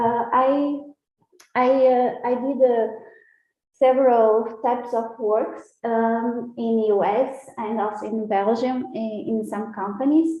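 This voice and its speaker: Speaking at a very slow pace with fairly even intonation, a woman is heard with audible room echo around her voice. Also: fairly high pitch for a woman. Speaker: scientist. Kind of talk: public talk. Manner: halting, many fillers.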